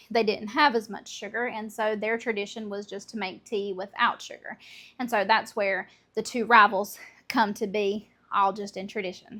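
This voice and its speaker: A woman with a Southern US accent speaks at a moderate pace in a bright, sharp tone, fairly high-pitched and monotone, flat in intonation, on a very clean recording with a silent background. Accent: Southern American. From Southern United States. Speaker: homemaker. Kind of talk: casual cooking talk to camera.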